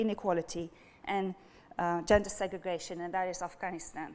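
A woman with a French accent talks at a moderate pace. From France. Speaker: speaker. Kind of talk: academic lecture. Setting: stage with audience. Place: hall. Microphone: lapel.

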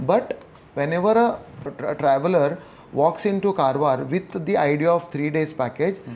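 This man's voice sits fairly high in pitch, with ordinary pitch variation. He keeps to a moderate pace. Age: 40s. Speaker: entrepreneur; podcast guest. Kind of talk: interview. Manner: hesitant, many fillers. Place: home room.

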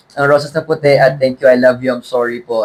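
The speaker is a man of medium pitch. He talks at a very fast pace. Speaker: singer. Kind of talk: interview.

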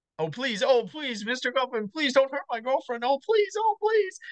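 A put-on character voice, high and whiny, swings very widely in pitch at a moderate pace. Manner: mocking, whiny, pleading.

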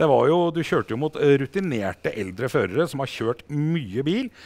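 A man's intonation bounces in a lively way while he keeps a moderate speed. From Norway. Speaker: motorsport TV host. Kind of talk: studio interview show. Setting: studio. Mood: warm, upbeat, proud. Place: studio. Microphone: lapel.

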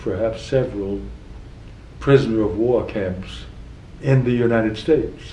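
Fairly even intonation comes through light background noise and audible room echo. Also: man. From South Carolina, USA. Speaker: retired federal judge, war veteran. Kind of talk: oral history interview answer. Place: office.

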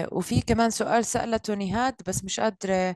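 A woman speaks in a normal speaking voice, pitched fairly high with fairly even intonation. The background is quiet, and the sound is dry with no echo. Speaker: career coach and social media influencer; career coach, social media influencer. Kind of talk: hosting online live session. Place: home room. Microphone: sounds distant, far from the mic; video call.

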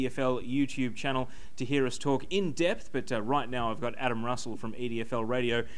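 A man speaks at a fairly quick pace. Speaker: web TV sports host. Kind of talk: sports panel discussion. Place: bar. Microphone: handheld.

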